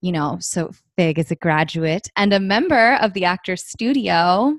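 A woman speaks in a fairly low voice. The sound is dry and close, with no echo. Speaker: podcast host. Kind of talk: casual interview chat. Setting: video call. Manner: animated.

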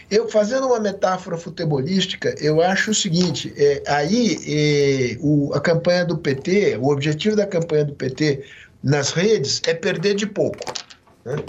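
This man's voice sits high in pitch, and he talks at a fairly slow pace with lively intonation. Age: 60s. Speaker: political scientist. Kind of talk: interview. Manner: halting, many fillers.

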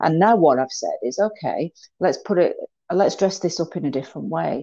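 Against a quiet background, a woman with a British accent speaks at a fairly quick pace in a dark, mellow tone. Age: 50s. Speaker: mental health trainer. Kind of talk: interview.

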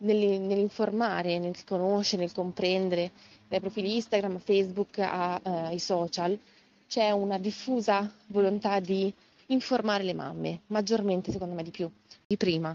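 Her intonation fairly even, a woman speaks at medium pitch and a moderate pace. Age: 30s. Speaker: educator. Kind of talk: interview. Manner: halting.

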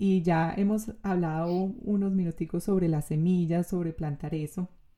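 In a Colombian accent, a woman with a medium pitch and a dark, mellow tone speaks at a fairly slow pace against a quiet background. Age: 30s. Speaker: podcast host and coach. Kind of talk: casual interview.

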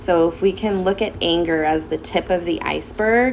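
The speaker has an American accent. Noticeable background noise runs underneath. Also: woman. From Southern California, Santa Clarita Valley. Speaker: school social worker. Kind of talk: casual interview. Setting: school wellness center.

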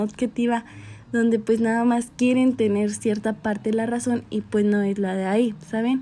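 A dark, mellow tone carries the voice. It moves along fairly slowly. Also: woman. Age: 20s. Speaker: pedagogy student. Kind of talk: student presentation. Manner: halting.

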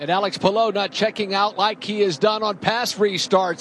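Moderate-paced talking from a man, with noticeable background noise. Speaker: turn announcer. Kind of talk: live race call.

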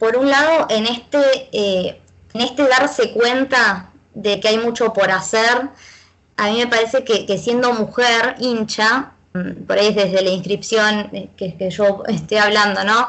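This woman has an unremarkable speaking voice at a fairly high pitch. She speaks fairly slowly, with ordinary pitch variation. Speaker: feminist football fan activist. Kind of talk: casual chat.

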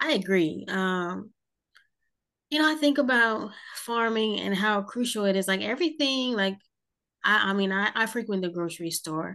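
In a quiet background, a woman with a bright, sharp tone and lively intonation speaks at a moderate pace with long, frequent pauses. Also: medium pitch for a woman. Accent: American. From South Jersey, US. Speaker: podcast host. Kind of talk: interview.

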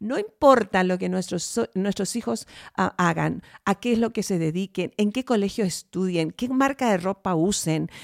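A woman with a normal speaking voice and medium pitch talks at a fairly slow pace with lively intonation, in a dry, close sound with no echo. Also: very clean recording, silent background. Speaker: podcast host. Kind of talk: casual chat; talk show monologue.

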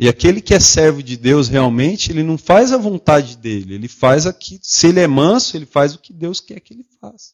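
A man speaks at a fairly quick pace in a fairly high pitch, with hardly any pauses. His pitch swings very widely and his loudness shifts in big swings. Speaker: lay preacher. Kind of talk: sermon. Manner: calm, gentle delivery.

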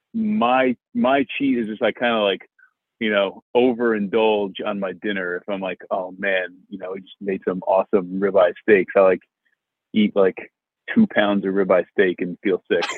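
A man speaks in an American accent with a normal speaking voice, fairly low in pitch and at a moderate pace. His intonation is fairly even, though his loudness swings widely. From New Jersey. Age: 30s. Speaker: venture capital investor. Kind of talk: interview.

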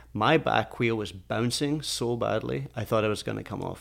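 With a Scottish accent, a man speaks at a fairly quick pace and fairly low pitch, his intonation lively. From Scotland. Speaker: podcast co-host, engineer. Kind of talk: casual chat.

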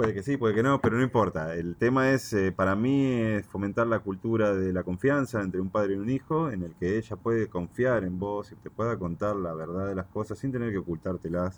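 Speaking at a fairly quick pace with hardly any pauses, a man has a fairly low pitch. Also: ordinary pitch variation. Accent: Rioplatense. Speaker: cannabis grower. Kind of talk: casual chat.

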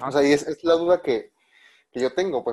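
This is a man speaking. He talks with a Mexican accent. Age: 20s. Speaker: podcast host. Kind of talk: casual chat.

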